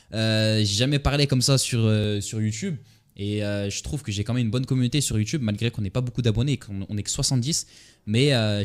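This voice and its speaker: Speaking at a very fast pace, a man uses a medium pitch and ordinary pitch variation. The recording is very clean, with a silent background. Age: 20s. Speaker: trader and entrepreneur vlogger. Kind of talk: casual monologue to camera. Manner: hesitant, many fillers.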